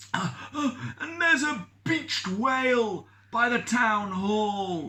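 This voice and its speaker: A croaky, put-on character voice with a fairly high pitch, speaking at a very slow pace. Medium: read story.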